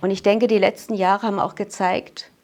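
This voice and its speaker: A woman with an ordinary speaking voice speaks at a moderate pace. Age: 60s. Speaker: mental trainer giving testimony at a talk. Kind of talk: personal testimony to audience.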